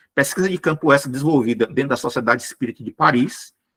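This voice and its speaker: A man's tone comes across bright and sharp, with ordinary pitch variation. The sound is dry and close, without echo. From Brazil, Ceará (Fortaleza). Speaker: spiritist lecturer. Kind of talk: lecture. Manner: fast.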